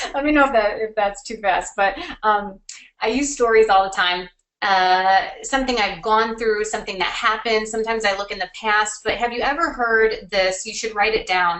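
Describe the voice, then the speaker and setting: A woman talks in an ordinary speaking voice. Her pitch is fairly high. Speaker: marketing consultant. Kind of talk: webinar presentation. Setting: online webinar.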